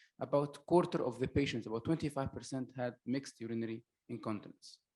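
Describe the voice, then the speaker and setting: At a fairly quick pace, a man is talking. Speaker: medical doctor, conference speaker. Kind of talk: lecture. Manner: hesitant, many filler uhs.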